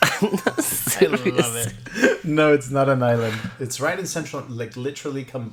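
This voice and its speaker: Over noticeable background noise, a man with a fairly high voice speaks fairly slowly, with lively intonation and big swings in loudness. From Nicaragua, then US from age ten. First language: Spanish. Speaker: podcast co-host. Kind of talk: casual chat.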